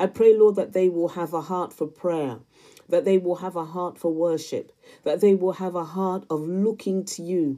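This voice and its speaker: A woman's voice with a dark, mellow tone sounds over a quiet background. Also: fairly low pitch for a woman, fairly even intonation, moderate pace. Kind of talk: intercessory prayer spoken aloud for viewers, addressed to God. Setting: solo recorded video. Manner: fervent and pleading, repeatedly invoking Lord and Father God; earnest, repetitive cadence layering parallel phrases. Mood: earnest, fervent. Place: home room. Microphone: phone near.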